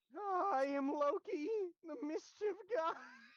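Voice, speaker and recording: A put-on character voice speaks at an extremely high pitch. The delivery is very slow. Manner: comically squeaky.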